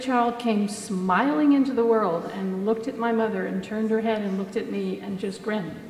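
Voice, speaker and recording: With an American accent, the speaker goes at a moderate pace amid audible room echo and noticeable background noise. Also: woman. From United States. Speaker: mother telling birth stories. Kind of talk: conference talk. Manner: animated.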